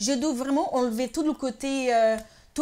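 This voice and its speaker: A woman's plain, everyday voice, at a moderate pace with ordinary pitch variation. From northeast Brazil. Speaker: TV presenter, singer and actress. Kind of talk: interview.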